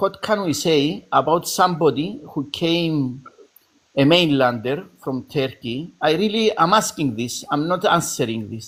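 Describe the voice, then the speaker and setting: Speaking with a Greek Cypriot accent, a man uses lively intonation, a fairly high pitch and a fairly slow pace. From Cyprus. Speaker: debate participant. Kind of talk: debate. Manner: halting.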